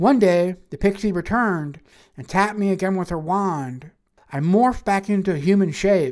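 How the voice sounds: This is a natural reading voice. Its pitch variation is ordinary, and the background is quiet.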